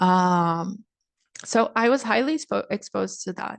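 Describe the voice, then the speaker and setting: Someone with a Brazilian accent speaks at a fairly slow pace over a quiet background. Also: woman. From Brazil, Niterói (Rio de Janeiro). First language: Brazilian Portuguese. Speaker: speaker at a cultural event. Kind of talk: online presentation. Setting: live online stream.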